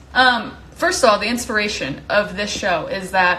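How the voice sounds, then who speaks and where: A woman speaks with audible room echo. Noticeable background noise sits behind her. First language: not English. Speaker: live stream host. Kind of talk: casual live stream chat. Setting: Instagram live from home. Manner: casual, many fillers.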